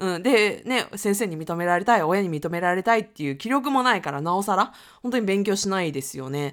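Using a plain, everyday voice, a woman speaks at a fairly quick pace and medium pitch with lively intonation. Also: very clean recording, silent background. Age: 30s. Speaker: podcast host, freelancer. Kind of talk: casual monologue. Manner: casual, with laughs and fillers.

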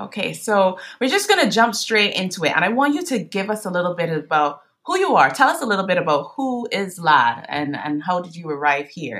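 A woman speaks at a fairly quick pace in a medium pitch, her voice making very wide pitch swings. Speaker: podcast host. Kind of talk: interview.

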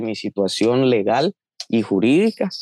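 Recorded dry and close with no echo, a man speaks at a fairly slow pace in a dark, mellow tone. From Guatemala, Chiquimula. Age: 20s. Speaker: young migrant. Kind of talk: interview.

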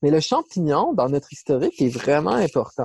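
A man with a dark, mellow tone speaks at a moderate pace in a dry, close sound with no echo. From Quebec City region. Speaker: ecologist. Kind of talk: interview.

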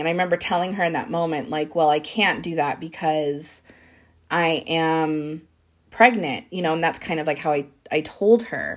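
Recorded very cleanly against a silent background, a woman talks at a moderate pace in a fairly low voice. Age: 30s. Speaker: solo podcast host. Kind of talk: personal reflective monologue. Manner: hesitant with many fillers.

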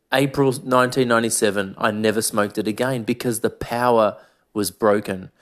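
This man has an Australian accent and a medium pitch. His pitch varies in an ordinary way, and the recording is very clean with a silent background. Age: 40s. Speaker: podcast host. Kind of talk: monologue podcast.

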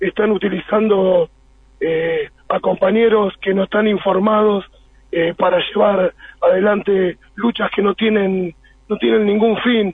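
A man speaks at a high pitch for a man. His pace is very slow. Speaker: trade union official. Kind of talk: radio interview. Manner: halting, many fillers.

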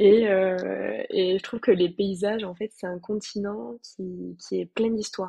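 The woman's voice sounds dry and close, with no echo at all. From France, Toulouse. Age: 20s. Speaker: former volunteer. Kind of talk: casual interview.

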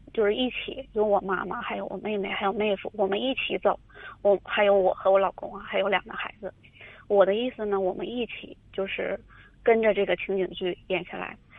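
A woman's normal speaking voice at a medium pitch, with fairly even intonation. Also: fairly quick pace. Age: 30s. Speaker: caller seeking advice. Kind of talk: call-in advice conversation. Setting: phone call.

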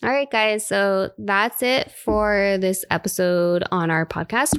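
Speaking with an American accent, the voice moves at a very slow pace with lively intonation over a very clean, silent background. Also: woman. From South Florida. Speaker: podcast co-host. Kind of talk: casual chat.

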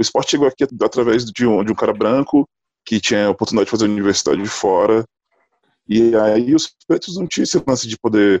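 A man at medium pitch, very fast pace, ordinary pitch variation, and a dry, close sound with no echo. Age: 30s. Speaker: basketball player and civil engineer. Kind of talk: casual discussion.

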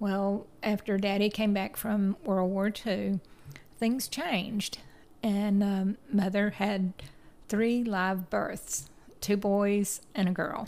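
Her pace is very slow, and her intonation stays fairly even. The woman speaks in a Tennessee accent. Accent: US Southern (Tennessee). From Chattanooga, Tennessee. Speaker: teacher. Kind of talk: interview.

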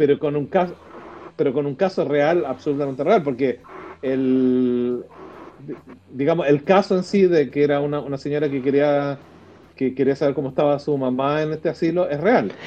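With a Chilean accent, the speaker goes at a moderate pace with long, frequent pauses and ordinary pitch variation, while background noise is noticeable. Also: man, fairly high pitch for a man. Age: 40s. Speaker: podcast co-host. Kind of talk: casual chat.

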